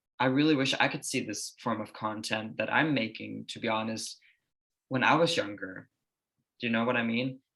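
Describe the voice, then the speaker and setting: The voice has a bright, sharp tone with vocal fry. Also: man, medium pitch for a man, ordinary pitch variation, moderate pace. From Denmark. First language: Danish. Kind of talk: casual interview chat. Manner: calm, even.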